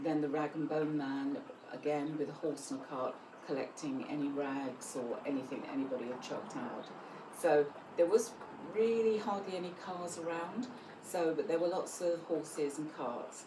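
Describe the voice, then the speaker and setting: Through noticeable background noise and audible room echo, a woman in a South London accent speaks at a moderate pace with a very deep, low pitch and lively intonation. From south London, England. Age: 70s. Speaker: grandmother telling life stories. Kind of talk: documentary interview, personal anecdotes.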